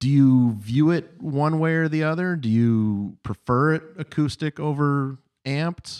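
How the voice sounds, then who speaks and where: A normal speaking voice from a man, fairly high in pitch with ordinary pitch variation, at a fairly slow pace in a dry, close sound with no echo. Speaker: podcast host (referee). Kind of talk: casual chat, podcast interview.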